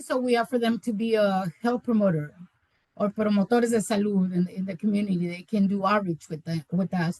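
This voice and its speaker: Speaking with a Spanish accent, a woman sounds somewhat breathy at a fairly quick pace. Her pitch varies in an ordinary way, and the recording is dry and close with no echo. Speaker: community health worker. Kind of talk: webinar presentation. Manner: halting, many repetitions.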